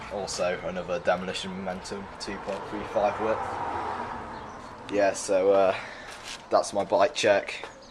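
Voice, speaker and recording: A man speaks fairly slowly while noticeable background noise carries on behind him. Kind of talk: casual bike check talk to camera. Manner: hesitant, many fillers.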